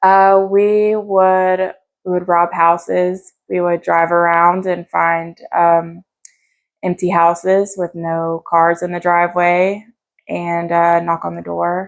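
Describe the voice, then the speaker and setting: A woman with a western North Carolina accent speaks at a very slow pace in a fairly low, flat, monotone voice. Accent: Southern US, western North Carolina. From US South, North Carolina (Asheville). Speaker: recovering addict sharing her story. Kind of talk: interview testimony. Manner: casual, halting with fillers.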